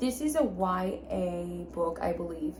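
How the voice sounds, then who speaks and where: A woman's voice comes with audible room echo and noticeable background noise. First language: Spanish. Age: 20s. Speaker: book vlogger. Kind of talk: casual vlog talk. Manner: informal, with filler words.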